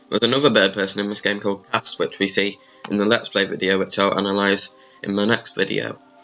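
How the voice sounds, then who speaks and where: A man talks very fast while music plays behind him. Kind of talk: video game trailer analysis talk. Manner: casual, hesitant with fillers.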